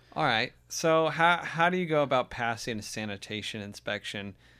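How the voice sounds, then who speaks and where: A man at a medium pitch speaks at a moderate pace, his tone animated and his intonation lively. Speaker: podcast host. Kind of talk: casual comedy podcast banter. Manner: joking, animated.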